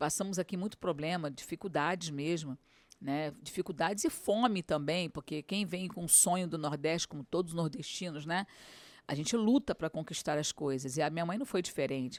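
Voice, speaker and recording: In a very clean recording with a silent background and a dry, close sound with no echo, a woman talks at a moderate pace with a fairly low pitch and ordinary pitch variation. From Rio de Janeiro, Brazil (moved from Aracaju, Sergipe at six). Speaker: city councillor. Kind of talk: podcast interview.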